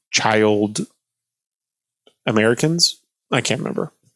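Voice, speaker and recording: Mumbled speech comes at a moderate pace in a dry, close sound with no echo. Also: man. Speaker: political commentator. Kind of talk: explainer livestream, casual. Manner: mumbling; halting, many fillers.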